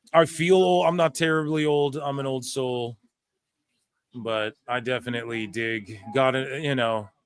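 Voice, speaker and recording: This is an ordinary speaking voice at a fairly slow pace. Its pitch variation is ordinary. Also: man, medium pitch for a man. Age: 30s. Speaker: wrestling podcast host. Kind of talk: casual chat. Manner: casual, profane.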